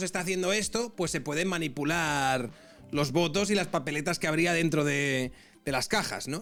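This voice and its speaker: A man with a Castilian accent talks at a moderate pace with lively intonation. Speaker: political commentator streamer. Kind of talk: live stream reaction commentary. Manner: conversational, reading aloud with asides.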